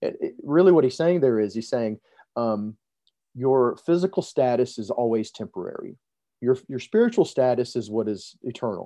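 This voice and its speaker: A man with a plain, everyday voice, a medium pitch, ordinary pitch variation and a moderate pace. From US South, Montgomery, Alabama. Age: 40s. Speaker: preacher. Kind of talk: podcast interview.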